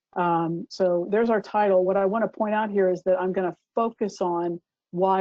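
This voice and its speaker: This is an ordinary speaking voice with an American accent. The pace is moderate and the intonation fairly even. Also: woman. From California, US. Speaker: doctor and presenter. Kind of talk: lecture. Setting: online webinar.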